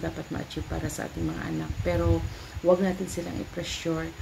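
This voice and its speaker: A woman talks at a fairly quick pace amid audible room echo and noticeable background noise. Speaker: vlogger, mother. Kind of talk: casual vlog talk. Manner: halting.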